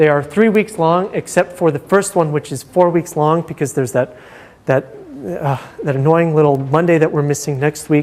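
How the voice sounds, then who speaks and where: The man speaks at a fairly high pitch with ordinary pitch variation. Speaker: university lecturer. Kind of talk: lecture. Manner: fast; hesitant, many fillers.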